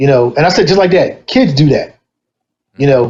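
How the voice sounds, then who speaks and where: A man speaks in an animated tone at a fairly quick pace. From Delaware, Wilmington. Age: 50s. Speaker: DJ. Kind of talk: casual chat.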